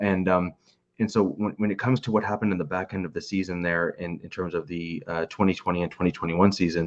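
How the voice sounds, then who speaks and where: A man talks at a very fast pace. His pitch is very deep and low, with fairly even intonation. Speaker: football fan panelist. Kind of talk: casual sports discussion. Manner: halting, repeats words.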